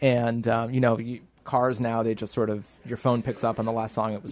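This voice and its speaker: The pace here is fairly quick. It is an ordinary speaking voice. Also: man. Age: 30s. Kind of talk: casual chat.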